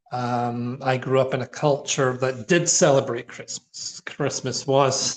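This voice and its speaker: A man talks with a Scottish accent at a fairly slow pace. His intonation is fairly even. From Scotland. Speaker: minister. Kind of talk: informal talk. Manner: conversational, with fillers.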